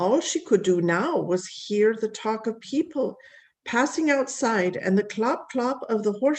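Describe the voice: The text is read aloud plainly, with lively intonation.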